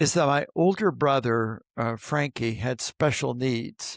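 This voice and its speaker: A man with a Midwestern American accent speaks at a fairly slow pace with ordinary pitch variation, on a very clean recording with a silent background and a dry, close sound with no echo. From US Midwest, southern Indiana. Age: 70s. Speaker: archbishop. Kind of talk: interview conversation.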